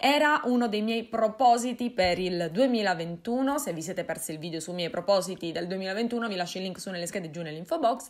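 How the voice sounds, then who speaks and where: A woman talks at a moderate pace with lively intonation and hardly any pauses. Behind her the background is quiet. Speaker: folklore vlogger. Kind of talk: casual vlog chat. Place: home room.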